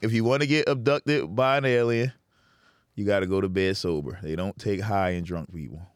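A man speaks in a normal speaking voice, fairly low in pitch and quick in pace, with lively intonation. The recording is very clean, the background silent. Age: 30s. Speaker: comedian. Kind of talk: casual chat.

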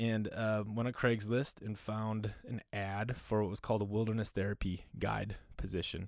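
Speaking with an American accent at a moderate pace, a man with a fairly low pitch keeps a monotone, flat intonation and hardly any pauses on a very clean recording with a silent background. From US Upper Midwest (North Dakota, Minnesota). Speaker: men's community founder. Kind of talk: casual interview.

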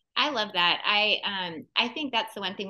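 A woman with an ordinary speaking voice, ordinary pitch variation and a moderate pace. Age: 40s. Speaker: podcast co-host. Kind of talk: podcast interview.

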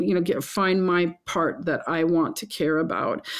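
A woman at medium pitch with an ordinary speaking voice. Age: 60s. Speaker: lodge owner and chef. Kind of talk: casual interview conversation.

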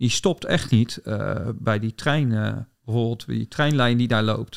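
A man's ordinary speaking voice at medium pitch, with ordinary pitch variation and a moderate pace, in a dry, close sound with no echo and a very clean recording over a silent background. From Netherlands, southwest Delta region. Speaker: ecologist and bird researcher. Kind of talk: interview.

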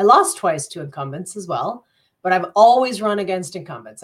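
A woman with an American accent speaks in a plain, everyday voice. Her intonation is lively and her pace fairly quick. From US, Colorado (born). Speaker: mayor, former journalist. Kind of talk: interview. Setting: video call from home office.

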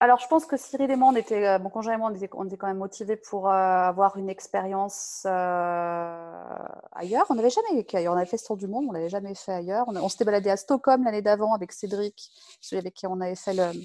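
An ordinary speaking voice moves at a fairly quick pace with hardly any pauses and ordinary pitch variation over a quiet background. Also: woman, medium pitch for a woman. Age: 40s. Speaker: software tech lead. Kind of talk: casual interview.

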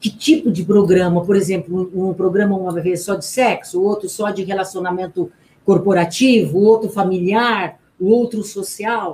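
Somewhat breathy, a woman speaks at medium pitch and a moderate pace with fairly even intonation. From Brazil, interior of São Paulo state (Garça). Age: 50s. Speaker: relationship coach and speaker. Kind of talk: radio interview. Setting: radio studio, live.

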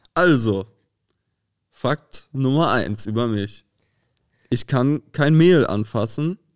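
A man's medium-pitched voice at a very slow pace, lively in intonation, with long, frequent pauses and a dry, close sound free of echo. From northern Germany (Rostock). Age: 20s. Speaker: musician. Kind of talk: casual chat.

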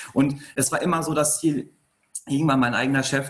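The man talks fairly quickly at a medium pitch. His intonation stays monotone and flat. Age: 30s. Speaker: entrepreneur. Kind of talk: interview.

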